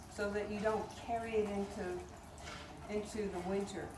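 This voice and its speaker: Amid noticeable background noise and audible room echo, a woman speaks at a fairly high pitch. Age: 70s. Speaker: tai chi teacher. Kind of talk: outdoor class instruction. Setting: outdoors.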